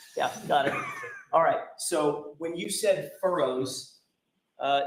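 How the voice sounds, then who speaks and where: There is audible echo from the room. The delivery is fairly slow. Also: man. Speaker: trial attorney. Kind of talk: courtroom cross-examination.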